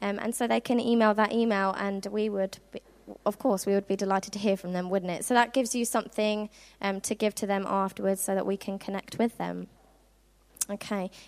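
Speaking in a flat monotone with a southern English accent, this voice sounds dry and close, with no echo. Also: woman, medium pitch for a woman. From southern England (Worthing, Sussex). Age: 20s. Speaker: youth outreach intern. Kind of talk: youth-camp preacher pep talk, rallying teens to go pray for healing.

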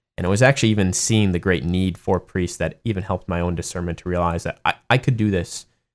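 A man with a very deep, low pitch and an American accent, very fast with hardly any pauses, ordinary pitch variation, in a very clean recording with a silent background. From US Midwest, Madison, Wisconsin. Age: 30s. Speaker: seminarian and Air Force officer. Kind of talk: interview.

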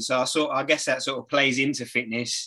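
This man's bright, sharp voice sits at a medium pitch, moving at a fairly quick pace with fairly even intonation.

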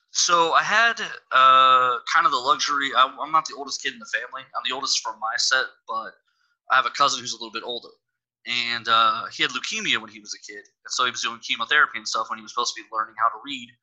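A man with an American accent talking at a very fast pace, with big swings in loudness. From Texas. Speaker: comic book writer and podcaster. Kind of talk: interview.

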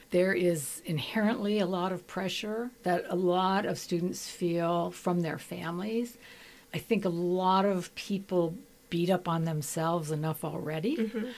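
A woman talks at a fairly slow pace, her pitch fairly low with ordinary variation. It is an ordinary speaking voice. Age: 60s. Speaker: retired psychiatrist. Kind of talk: radio interview. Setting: radio studio.

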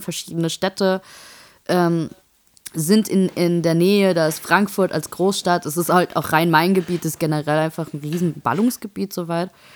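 A woman speaks in a plain, everyday voice at a moderate pace, her fairly low pitch carried by fairly even intonation. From Saarland. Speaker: podcast co-host. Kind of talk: casual chat.

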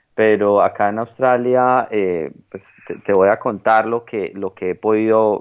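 A man speaks with a fairly low pitch and a fairly even intonation. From Colombia. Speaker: economist studying English abroad. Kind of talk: interview. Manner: halting, many fillers and repetitions.

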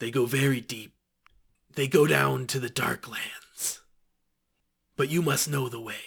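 A man puts on a raspy character voice at a medium pitch. He moves at a moderate pace with long, frequent pauses. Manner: cryptic, furtive, speaks of himself in third person.

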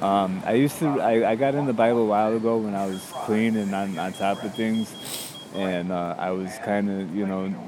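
A man with an American accent and fairly low pitch comes through noticeable background noise and audible room echo. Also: ordinary pitch variation, moderate pace. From Chicago suburbs. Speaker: homeless man. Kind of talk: personal testimony interview. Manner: halting, many fillers.

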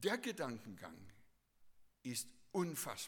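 This man's voice swings very widely in pitch and carries vocal fry. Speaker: preacher. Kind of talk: sermon. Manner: earnest, teacherly preaching, repeating key phrases for emphasis.

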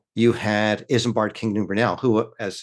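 A man with an American accent and a plain, everyday voice, fairly low in pitch, at a moderate pace against a quiet background. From Princeton, New Jersey, US. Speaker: author. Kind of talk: casual interview.

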